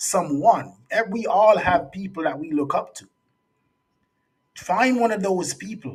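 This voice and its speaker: A man's high voice in a Jamaican accent, with lively intonation, big swings in loudness, a fairly slow pace, and long, frequent pauses. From Jamaica, raised partly in US. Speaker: youth speaker and resilience coach. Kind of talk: interview conversation.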